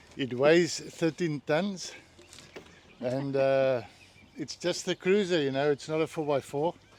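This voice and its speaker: A man's fairly high, fairly slow voice with ordinary pitch variation and long, frequent pauses, dry and close with no echo, over noticeable background noise. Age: 70s. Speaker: retired overland traveller. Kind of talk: casual interview. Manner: halting.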